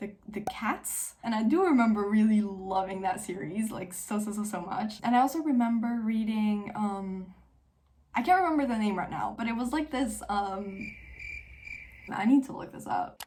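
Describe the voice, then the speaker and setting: At a moderate pace, a woman with a fairly high pitch speaks in a dark, mellow, somewhat breathy tone, her pitch varying in an ordinary way. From Switzerland, French-speaking. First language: French. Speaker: book youtuber. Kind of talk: casual chat. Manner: casual, filler-heavy.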